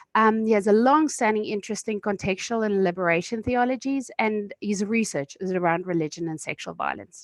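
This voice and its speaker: A woman talks at a fairly quick pace with hardly any pauses, at a medium pitch with ordinary pitch variation. It's a plain, everyday voice over a quiet background. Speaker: webinar moderator. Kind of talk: webinar introduction. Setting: video call.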